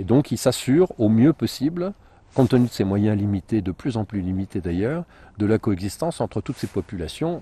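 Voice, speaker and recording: Fairly quick speech in a dark, mellow, somewhat breathy tone with very wide pitch swings, a dry, close sound with no echo, and a quiet background. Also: man. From northern France, Compiègne (Picardy). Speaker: wildlife photographer and journalist, author. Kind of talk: interview. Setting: outdoors in a forest. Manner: hesitant, with repetitions.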